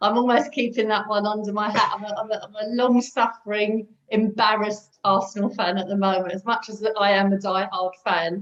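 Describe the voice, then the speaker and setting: A woman speaks with a London accent at a fairly high pitch. Her pace is fairly quick. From North London. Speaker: recovering alcoholic sharing her story. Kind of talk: interview testimony.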